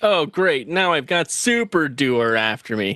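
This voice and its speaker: Against a quiet background, a man puts on a whiny character voice, fairly high in pitch and fairly slow in pace. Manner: whining, complaining.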